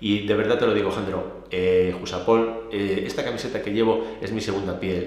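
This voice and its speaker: Audible room echo hangs around this voice. It belongs to a man with a fairly low pitch. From Spain. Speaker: police union leader. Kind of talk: interview; interview answer. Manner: animated. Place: home room.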